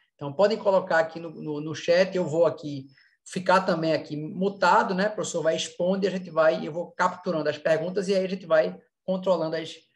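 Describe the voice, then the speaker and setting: This man speaks at a moderate pace. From Brazil, Recife (Pernambuco). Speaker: event organizer, course director of a professional society. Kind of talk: online panel moderation, casual introduction. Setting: video call / online live panel. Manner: hesitant, many fillers and repetitions.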